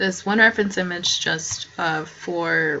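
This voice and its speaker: Against noticeable background noise, a soft-spoken woman talks at a fairly low pitch. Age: young. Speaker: student artist. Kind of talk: tutorial. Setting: at home at night. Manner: halting.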